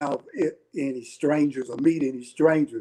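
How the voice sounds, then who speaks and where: A man speaks at a fairly slow pace with a dark, mellow tone. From Alabama. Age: 70s. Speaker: retired Air Force veteran. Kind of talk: casual chat.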